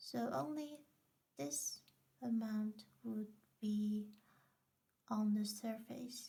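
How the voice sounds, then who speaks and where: A woman speaks very slowly in a somewhat breathy, dark, mellow tone at a fairly high pitch. Her intonation is lively, with long, frequent pauses. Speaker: craft tutorial maker. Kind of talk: tutorial.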